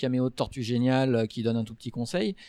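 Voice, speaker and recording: A medium-pitched man with a dark, mellow tone at a moderate pace, in a very clean recording with a silent background. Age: 30s. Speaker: fantasy author. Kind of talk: casual chat. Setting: live recording with audience.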